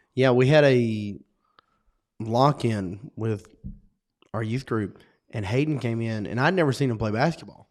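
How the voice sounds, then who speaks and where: With a Southern Appalachian accent, a man speaks at a medium pitch and a fairly slow pace, using ordinary pitch variation and long, frequent pauses. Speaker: podcast co-host. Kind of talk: casual chat.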